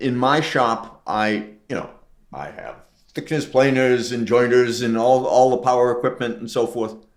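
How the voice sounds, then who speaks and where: A man speaks at a moderate pace and a medium pitch, his intonation flat and monotone, his loudness swinging widely, with audible echo in the room. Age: 70s. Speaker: retired preservation carpentry instructor. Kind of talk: casual interview chat. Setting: in his restored house addition. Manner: halting, repetitive.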